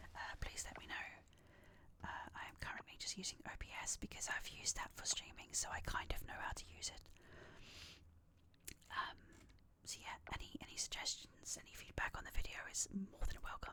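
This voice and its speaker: Whispering at a fairly quick pace, a woman leaves long, frequent pauses. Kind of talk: ASMR gaming video, casual talk. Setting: close microphone, home recording. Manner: whispered.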